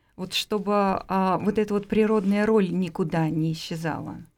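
A woman uses an ordinary speaking voice at a moderate pace, with ordinary pitch variation. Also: very clean recording, silent background. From Russia, Moscow. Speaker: studio guest. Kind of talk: casual radio interview. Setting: radio studio.

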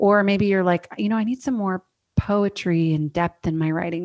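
A woman with an American accent and a normal speaking voice talks at a medium pitch and moderate pace, with fairly even intonation over a quiet background. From US Northwest (Oregon). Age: 30s. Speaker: author and writing coach. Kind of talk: interview.

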